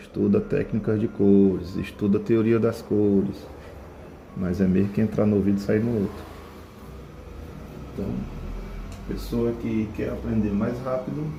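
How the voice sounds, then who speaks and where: A soft-spoken man at a fairly low pitch and fairly slow pace, with ordinary pitch variation, audible room echo and music in the background. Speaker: painting teacher. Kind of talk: tutorial.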